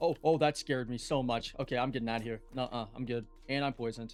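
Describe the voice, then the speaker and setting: A man with a medium-pitched voice talks at a very fast clip in a fairly even tone, with music playing in the background. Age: young. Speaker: gaming youtuber. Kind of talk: gameplay commentary with Q&A. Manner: quiet.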